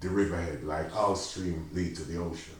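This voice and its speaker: A man is speaking. His voice is somewhat breathy. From Jamaica. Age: 70s. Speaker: community project founder. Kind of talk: interview answer.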